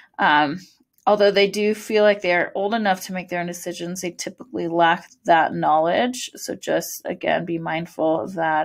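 A woman's medium-pitched voice with a West Coast accent, at a moderate pace and with fairly even intonation, against a quiet background. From California, US. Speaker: school counselor. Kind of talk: presentation to parents. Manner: frequent fillers, um.

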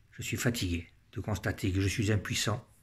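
Fairly slow and somewhat breathy, a man speaks in a solemn tone with a fairly low pitch and fairly even intonation. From French Algeria. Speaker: political commentator. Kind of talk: personal monologue. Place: home room. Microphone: phone near.

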